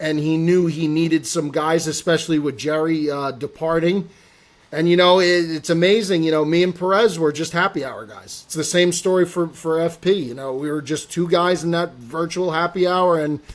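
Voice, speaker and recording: A man talks loudly with an American accent, his pitch high. He keeps a moderate pace and fairly even intonation. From North Jersey, US. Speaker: golf content personality. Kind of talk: podcast interview. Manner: loud, projecting; boisterous at times.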